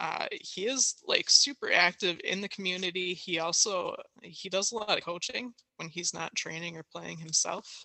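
A woman speaks with an American accent in a plain, everyday voice. Her pitch variation is ordinary. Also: medium pitch for a woman, moderate pace. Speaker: soccer podcast co-host. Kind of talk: casual chat.

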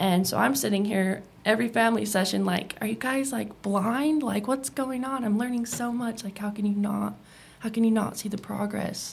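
Her voice is fairly high and somewhat breathy. The woman keeps a moderate pace with ordinary pitch variation. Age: 20s. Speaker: former addiction treatment patient. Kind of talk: interview.

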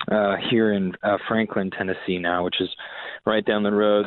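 A man with an American accent, fairly low pitch, and monotone, flat intonation. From Massachusetts South Shore (Boston area). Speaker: rock guitarist. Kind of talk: casual interview chat.

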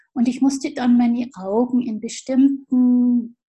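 A woman with a high pitch and a dark, mellow tone speaks at a fairly slow pace. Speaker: physiotherapist and movement teacher. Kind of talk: casual interview; guided movement lesson.

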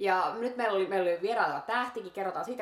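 Noticeable background noise fills the recording. Over it, a woman talks at a very fast pace. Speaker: restaurant review podcast host. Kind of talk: casual chat.

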